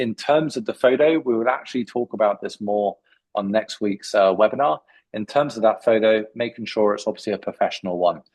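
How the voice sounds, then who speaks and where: In a British accent, a medium-pitched man talks at a fairly quick pace. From UK. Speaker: CV writing expert. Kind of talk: webinar Q&A. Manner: hesitant with many fillers.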